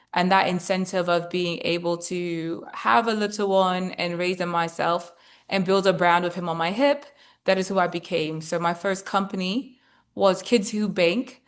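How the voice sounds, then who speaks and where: A woman with a British accent speaks in a fairly low pitch at a moderate pace. Her intonation is fairly even, and the background is quiet. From Britain. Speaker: former investment banker and investor. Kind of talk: webinar presentation.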